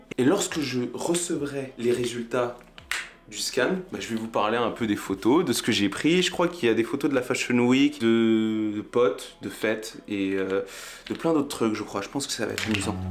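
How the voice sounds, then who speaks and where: Music plays in the background. A man with a medium pitch speaks at a moderate pace using lively intonation. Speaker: photography vlogger. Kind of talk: casual vlog.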